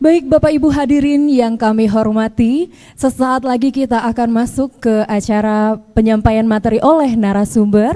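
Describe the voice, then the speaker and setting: A woman's dark, mellow tone at a fairly high pitch, with ordinary pitch variation, a moderate pace and hardly any pauses. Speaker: master of ceremonies. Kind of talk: formal announcements. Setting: stage with audience. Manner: formal.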